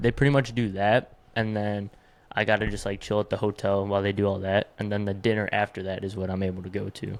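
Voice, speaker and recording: This man has a fairly low pitch and fairly even intonation. He speaks at a very fast pace. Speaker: podcast co-host. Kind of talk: casual chat. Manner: loud.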